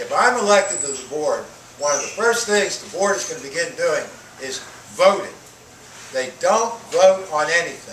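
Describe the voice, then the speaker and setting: A man's high-pitched voice at a moderate pace, with lively intonation, big swings in loudness and long, frequent pauses, plus audible room echo and noticeable background noise. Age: 60s. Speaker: retired college professor, school board candidate. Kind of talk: candidate forum answer. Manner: loud, projecting without microphone. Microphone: speaking without a microphone.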